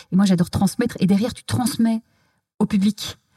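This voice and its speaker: Somewhat breathy, a woman speaks in a dry, close sound with no echo. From Belgium. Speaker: TV culture journalist and author. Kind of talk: interview conversation. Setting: physio practice room.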